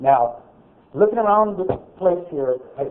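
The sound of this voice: A loud man at a moderate pace, with ordinary pitch variation and audible room echo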